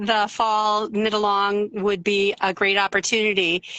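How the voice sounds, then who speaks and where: With an Upper Peninsula Michigan accent, a woman speaks at a fairly slow pace. Her intonation is monotone and flat. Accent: Upper Peninsula Michigan accent, mild. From Upper Peninsula of Michigan. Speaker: yarn dyer. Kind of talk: casual interview chat.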